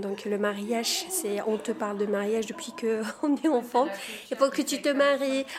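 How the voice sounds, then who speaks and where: Fairly high-pitched woman's voice over noticeable background noise. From Morocco. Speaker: community theatre participant. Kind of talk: casual chat.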